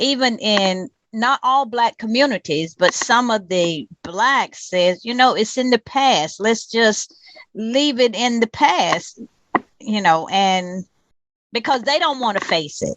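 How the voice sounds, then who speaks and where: A woman speaks very slowly in a North Carolina accent, her pitch fairly high and her intonation lively. The sound is dry and close, with no echo. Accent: Southern US (North Carolina). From US South. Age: 60s. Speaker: community activist. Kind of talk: interview.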